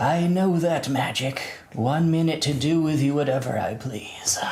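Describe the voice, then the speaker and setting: Using a put-on, robotic character voice, a man speaks at a moderate pace and a fairly high pitch. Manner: menacing.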